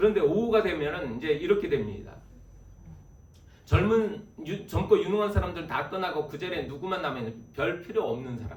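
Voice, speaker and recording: The speech moves at a fairly quick pace with lively intonation and big swings in loudness. Noticeable noise sits in the background. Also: man, high pitch for a man. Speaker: guest preacher. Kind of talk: sermon. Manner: fast.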